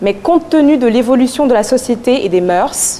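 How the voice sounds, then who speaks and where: A woman's high-pitched voice with lively intonation, over noticeable background noise. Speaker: student speaker. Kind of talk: eloquence contest speech. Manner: declamatory.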